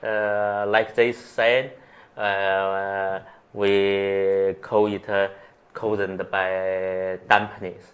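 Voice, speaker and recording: In a Chinese accent, a man talks very slowly and in a flat monotone, on a very clean recording with a silent background. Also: fairly low pitch for a man. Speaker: acupuncturist. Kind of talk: interview. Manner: halting.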